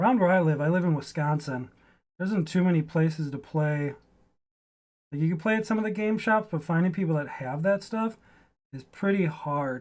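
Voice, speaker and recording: The pace is fairly quick, yet the speech is broken by long, frequent pauses. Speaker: hobbyist miniature painter streamer. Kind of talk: casual livestream chat while painting. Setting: live stream.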